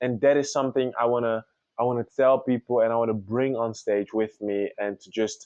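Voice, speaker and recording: Monotone, flat intonation marks a man speaking at a medium pitch. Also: fairly quick pace, big swings in loudness. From Congo. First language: French. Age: 20s. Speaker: singer. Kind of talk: interview.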